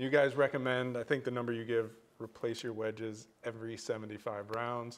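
A man talks at a moderate pace with monotone, flat intonation. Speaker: golf podcast co-host. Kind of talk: casual chat. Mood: friendly, curious. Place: meeting room.

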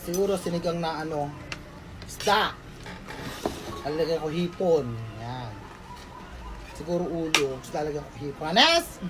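Over noticeable background noise and audible room echo, a woman with a very deep, low voice speaks at a fairly slow pace, with long, frequent pauses, big swings in loudness and ordinary pitch variation. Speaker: vlogger. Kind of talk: vlog voice-over. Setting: at home. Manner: animated.

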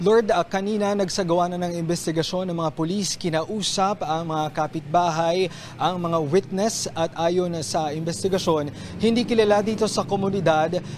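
Through noticeable background noise, a man with a high pitch speaks at a moderate pace with fairly even intonation. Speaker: TV field reporter. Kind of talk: live news report. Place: street. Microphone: handheld.

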